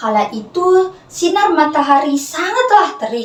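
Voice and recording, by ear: A woman speaks with lively intonation. Room echo is audible.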